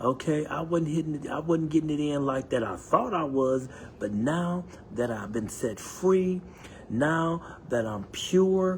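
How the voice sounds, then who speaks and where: An animated man at a fairly high pitch and fairly slow pace, with noticeable background noise. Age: 60s. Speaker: podcast host. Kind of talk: motivational monologue.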